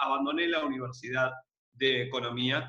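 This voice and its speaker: A man's fairly high-pitched voice in an Argentine accent. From Mar del Plata, Argentina. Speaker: entrepreneur and podcast co-host. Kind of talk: casual chat, podcast conversation. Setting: remote call during quarantine.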